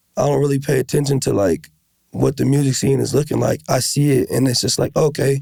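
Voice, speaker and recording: Speaking in a plain, everyday voice with an American accent, a man at a fairly high pitch keeps a fairly quick pace, fairly even intonation and very even loudness. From US Midwest, South Minneapolis, Minnesota. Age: 20s. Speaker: rapper. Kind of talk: casual chat.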